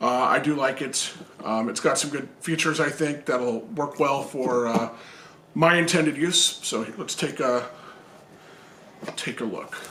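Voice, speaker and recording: Amid noticeable background noise and audible room echo, a man speaks at a fairly slow pace with long, frequent pauses. His voice is fairly high-pitched, with ordinary pitch variation. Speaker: video game channel host. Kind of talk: product unboxing review. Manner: casual, hesitant with fillers.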